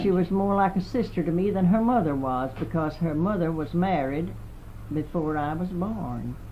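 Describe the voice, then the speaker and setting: In a Southern US accent, a woman talks at a moderate pace with a fairly low pitch and ordinary pitch variation. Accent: Southern American. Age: 80s+. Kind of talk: oral history interview answer. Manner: hesitant, rambling.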